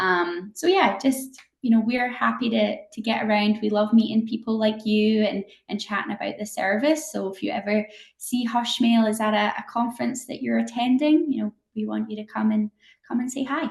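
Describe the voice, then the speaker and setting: A woman with a slight Scottish accent speaks in a somewhat breathy, fairly high voice with ordinary pitch variation. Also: moderate pace. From Scotland. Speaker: company representative. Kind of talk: interview.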